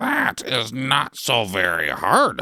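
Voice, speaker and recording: Raspy and full of lively intonation, this is a put-on character voice. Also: man, medium pitch for a man. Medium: read story. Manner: calm, knowing.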